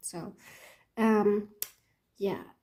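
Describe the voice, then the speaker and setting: This woman's voice is fairly high and somewhat breathy, with a dark, mellow tone. She speaks with a non-native accent. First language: not English. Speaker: planner hobby YouTuber. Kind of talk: casual show-and-tell video. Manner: hesitant, many fillers.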